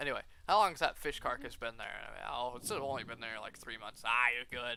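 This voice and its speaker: A man's medium-pitched voice with a bright, sharp tone and vocal fry, animated, with ordinary pitch variation, big swings in loudness and a fairly quick pace. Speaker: restaurant worker. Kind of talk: casual chat.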